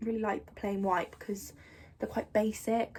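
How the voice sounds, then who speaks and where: Her intonation is fairly even. The woman talks in an English accent. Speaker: youtuber. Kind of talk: casual vlog. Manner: chatty, many fillers.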